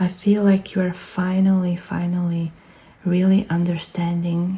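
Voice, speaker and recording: Somewhat breathy and fairly low, the woman's voice has a dark, mellow tone and moves at a fairly slow pace. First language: not English. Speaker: tarot reader. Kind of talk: pick-a-card tarot reading. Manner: halting.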